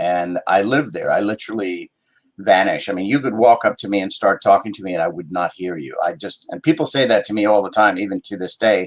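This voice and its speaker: An unremarkable speaking voice at a fairly quick pace, with ordinary pitch variation and big swings in loudness. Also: man, fairly low pitch for a man. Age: 60s. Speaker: actor and writer. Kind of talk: interview.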